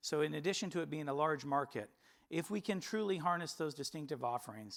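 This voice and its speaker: Speaking with an American accent, a man goes at a very fast pace. His voice is fairly high, with lively intonation. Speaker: company executive presenter. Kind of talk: investor presentation. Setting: stage with audience. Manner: formal.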